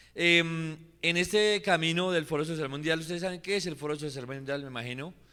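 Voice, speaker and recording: In a Colombian accent, a man speaks at a moderate pace with a fairly high pitch and ordinary pitch variation. His tone is bright and sharp on a very clean recording with a silent background. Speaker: social movement activist. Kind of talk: public talk at assembly. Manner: hesitant, with fillers.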